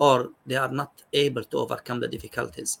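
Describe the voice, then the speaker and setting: Delivered at a moderate pace, the voice carries an Arabic accent. The sound is dry and close, with no echo. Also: man. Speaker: psychiatrist. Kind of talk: expert interview.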